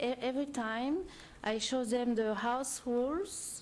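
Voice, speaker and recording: Here a woman talks at a fairly slow pace with a French accent. Her pitch varies in an ordinary way. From France. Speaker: short-term rental owner applicant. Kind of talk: public hearing testimony. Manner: halting, many fillers.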